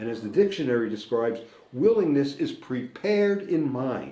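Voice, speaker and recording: Loud and fairly high in pitch, a man with an American accent speaks with very wide pitch swings amid audible room echo. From United States. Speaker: recovering alcoholic sharing at a meeting. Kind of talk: recovery meeting share. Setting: meeting room with audience.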